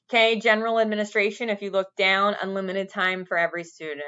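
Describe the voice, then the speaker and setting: A woman is speaking. Her pace is very fast. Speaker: school staff training teachers. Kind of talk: recorded training video.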